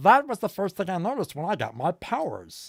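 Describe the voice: A put-on character voice at a fairly quick pace, on a very clean recording with a silent background. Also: man, high pitch for a man.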